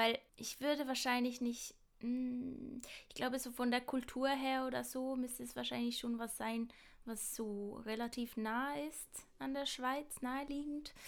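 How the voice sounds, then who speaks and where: The speaker talks at a fairly slow pace in a flat monotone, with big swings in loudness. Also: woman, high pitch for a woman. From Switzerland, Basel. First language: Swiss German (speaking German). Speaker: podcast co-host, acting student. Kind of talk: casual chat. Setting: remote call.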